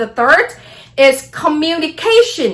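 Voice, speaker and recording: A woman with a Vietnamese accent against noticeable background noise. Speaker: astrology vlogger. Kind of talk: casual monologue vlog.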